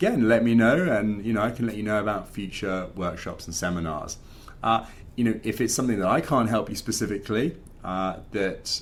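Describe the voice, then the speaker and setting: A man's fairly low voice at a very fast pace, with ordinary pitch variation and audible room echo. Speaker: finance podcast host and coach. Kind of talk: casual talk to camera. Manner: animated.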